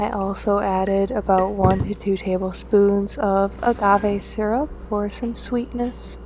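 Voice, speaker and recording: Soft-spoken, fairly slow speech with hardly any pauses, over noticeable background noise. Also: woman. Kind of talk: casual talk to camera, cooking voiceover.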